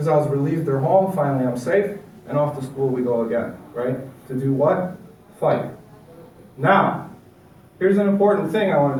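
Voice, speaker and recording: With audible room echo and noticeable background noise, a man speaks at a fairly quick pace and a fairly high pitch, with ordinary pitch variation and long, frequent pauses. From Chicago and suburbs, immigrant child. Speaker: motivational speaker on recovery. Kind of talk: personal testimony talk to an audience. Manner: conversational, interactive.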